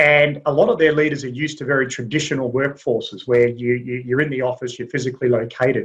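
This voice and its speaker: At a very fast pace with hardly any pauses, a man talks in an American accent. His voice is somewhat breathy and his intonation fairly even. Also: medium pitch for a man. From US South (Alabama). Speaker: executive search and leadership consultant. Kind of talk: webinar panel discussion.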